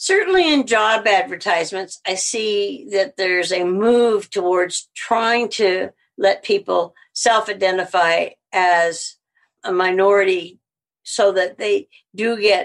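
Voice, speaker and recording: Speaking at a very slow pace, a woman has a medium pitch. She talks with an American accent. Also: ordinary pitch variation. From US Midwest, Missouri. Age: 70s. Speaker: veterinarian and social justice activist. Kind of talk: interview.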